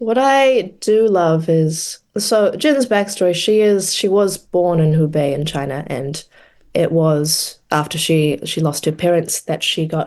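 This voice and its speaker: A woman with a New Zealand accent and a fairly low pitch, at a fairly slow pace with lively intonation against a quiet background. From New Zealand, Palmerston North. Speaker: actress. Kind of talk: interview.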